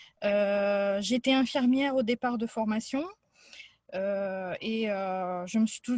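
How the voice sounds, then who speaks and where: A somewhat breathy woman with a dark, mellow tone and fairly high pitch, fairly even intonation and a fairly slow pace, in a dry, close sound with no echo. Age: 40s. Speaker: psychology student, former nurse. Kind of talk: casual presentation. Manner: hesitant, many fillers.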